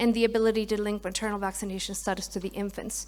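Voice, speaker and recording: A woman speaks at a very fast pace in a monotone, flat intonation. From Mexico. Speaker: pharmaceutical clinical development lead. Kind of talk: conference presentation.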